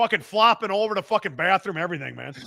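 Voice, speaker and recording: A man with a Chicago accent speaks in a raised, projected voice with a high pitch and ordinary pitch variation. His tone is animated, bright and sharp, with a dry, close sound and no echo. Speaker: podcast host, fitness equipment seller. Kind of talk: casual chat. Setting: live stream.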